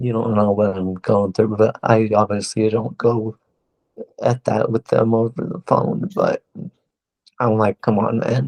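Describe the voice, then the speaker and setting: Fairly even intonation at a fairly slow pace, in a dry, close sound with no echo. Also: man, medium pitch for a man. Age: 20s. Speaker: patient with a rare disease. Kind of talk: interview. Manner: syllables sometimes stumble over each other.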